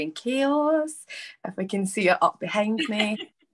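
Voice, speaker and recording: In a Scottish accent, a woman speaks at a fairly slow pace, the sound dry and close with no echo. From Scotland. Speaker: author. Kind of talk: virtual panel discussion. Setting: video call.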